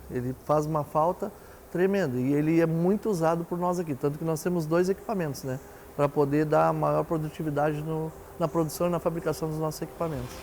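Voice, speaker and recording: An unremarkable speaking voice belongs to a man with a fairly high pitch. He moves at a fairly quick pace, his intonation fairly even. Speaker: industrial company representative. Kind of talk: interview answer.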